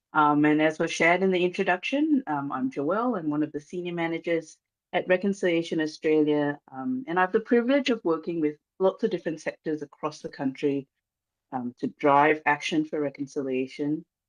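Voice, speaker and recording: Against a quiet background, someone speaks at a fairly quick pace with a Malaysian accent. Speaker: reconciliation organisation manager. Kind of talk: formal speech. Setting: video call. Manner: hesitant with many fillers.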